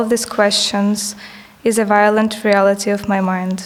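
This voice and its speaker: With noticeable background noise and audible room echo, a woman with a non-native accent talks fairly slowly in a fairly high pitch and a monotone, flat intonation. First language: not English. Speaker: artist. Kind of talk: reading aloud. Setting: stage with audience.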